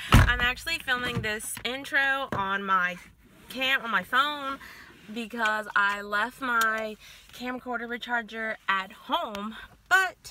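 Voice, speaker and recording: A woman speaks at a very slow pace. There is noticeable background noise, and the sound is dry with no echo. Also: ordinary pitch variation. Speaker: student vlogger. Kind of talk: casual vlog chat. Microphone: phone near.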